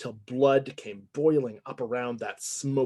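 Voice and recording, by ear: Reading aloud, the voice sounds natural.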